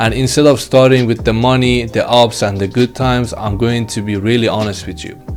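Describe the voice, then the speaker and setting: Music plays in the background. A man talks fairly quickly at medium pitch with fairly even intonation. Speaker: e-commerce YouTuber. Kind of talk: casual vlog talk to camera. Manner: halting with fillers.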